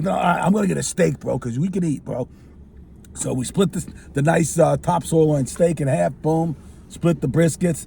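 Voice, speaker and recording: Over noticeable background noise, a man with a fairly high pitch and an energetic tone speaks at a moderate pace with ordinary pitch variation. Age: 60s. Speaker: cigar show host. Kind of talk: casual chat.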